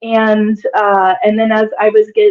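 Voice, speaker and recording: A woman with a fairly high pitch speaks in a Midwestern American accent. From US Midwest, Kansas. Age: 40s. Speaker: digital nomad, former math professor. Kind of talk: interview.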